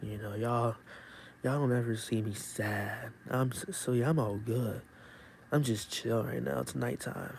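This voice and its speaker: Quiet and somewhat breathy, a man at a medium pitch speaks fairly slowly in a calm tone with lively intonation. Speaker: YouTuber live streamer. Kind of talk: casual live stream chat. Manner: quiet, calm.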